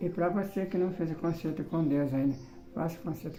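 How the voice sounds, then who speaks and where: A man speaks at a fairly high pitch. Music plays in the background, and the room echo is audible. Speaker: evangelist preacher. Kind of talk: sermon. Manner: slurred speech, difficult diction after stroke; repetitive, halting.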